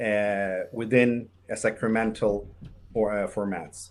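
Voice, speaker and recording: Medium in pitch, a man's voice carries the clip. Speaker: Sufi order leader. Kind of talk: interview. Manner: halting, many hesitations.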